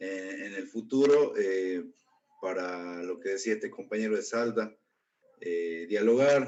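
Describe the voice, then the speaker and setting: Very slow speech from a man with a fairly low pitch and ordinary pitch variation. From Jujuy, northwestern Argentina. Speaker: political activist. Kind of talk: formal remarks in meeting.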